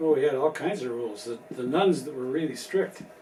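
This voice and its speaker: A man talks at a moderate pace with an American accent and a medium pitch. Noticeable background noise sits behind him. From US Midwest, Chicago. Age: 70s. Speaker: grandfather being interviewed. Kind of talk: family interview.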